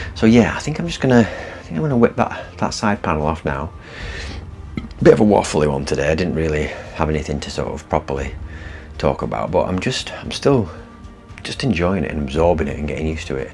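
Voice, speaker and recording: Soft-spoken and very fast, this voice has a northern English accent and lively intonation. Long, frequent pauses break it up, with music in the background. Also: man, very deep, low pitch for a man. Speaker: vlogger. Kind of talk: casual vlog talk. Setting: inside a parked van.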